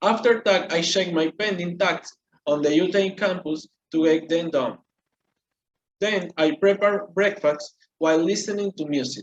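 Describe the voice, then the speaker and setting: At a high pitch with ordinary pitch variation, a man speaks at a moderate pace. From Venezuela. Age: 20s. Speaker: engineering student. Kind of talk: scripted presentation. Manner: halting, many fillers.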